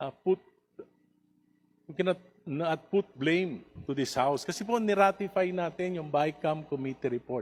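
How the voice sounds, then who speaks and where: The speaker is a man with a fairly high pitch and ordinary pitch variation. He talks at a moderate pace. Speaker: congressman. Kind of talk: heated debate. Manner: passionate, raised voice.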